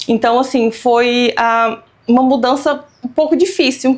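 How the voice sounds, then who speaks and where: Ordinary pitch variation comes through as a woman talks at a fairly slow pace. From Brazil, Pará and Minas Gerais. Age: 30s. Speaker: immigrant business owner, accountant. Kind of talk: interview.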